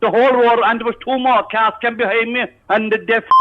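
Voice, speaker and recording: Angry in tone, a man speaks at a fairly quick pace in a Cork accent, his pitch extremely high. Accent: Irish, Cork. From Ireland. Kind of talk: prank call victim on phone. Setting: phone line. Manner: angry, agitated.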